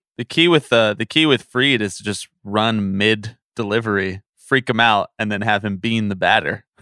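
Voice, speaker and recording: A man's ordinary speaking voice at a fairly low pitch, with hardly any pauses. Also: ordinary pitch variation. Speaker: baseball podcaster, auction keeper. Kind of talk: casual banter. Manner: playful, acts as auctioneer, quick calls.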